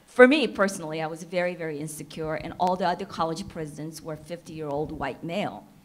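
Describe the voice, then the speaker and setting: A woman with a Korean accent speaks at a very fast pace with hardly any pauses. Her fairly low voice shows ordinary pitch variation and big swings in loudness. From South Korea. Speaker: entrepreneur and panelist. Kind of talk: panel discussion.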